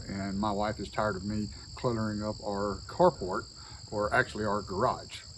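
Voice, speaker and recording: A man with a Southern US accent talks at a fairly slow pace, his voice carrying vocal fry. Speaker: DIY video host. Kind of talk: casual vlog narration. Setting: outdoors by a barn. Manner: casual, with frequent fillers.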